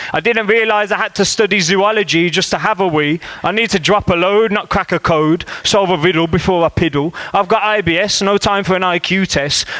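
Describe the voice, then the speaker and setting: Over noticeable background noise, a man talks at a high pitch and a fairly quick pace with hardly any pauses. His loudness stays very even and his intonation fairly even. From Birmingham. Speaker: spoken word poet. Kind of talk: comic spoken word poetry performance. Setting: live venue.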